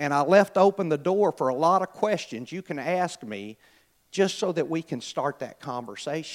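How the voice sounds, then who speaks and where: A man with an American accent speaks in an unremarkable speaking voice at a moderate pace, with lively intonation. The recording is very clean, with a silent background. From US South (Mobile, Alabama), then Kansas City from 15. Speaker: church member sharing personal testimony. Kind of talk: testimony. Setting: church service.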